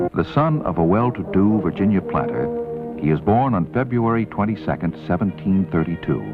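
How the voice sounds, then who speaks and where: With music in the background, a man speaks fairly quickly in a very deep, low pitch, his intonation lively and his loudness very even. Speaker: narrator. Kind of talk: documentary narration. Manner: matter-of-fact.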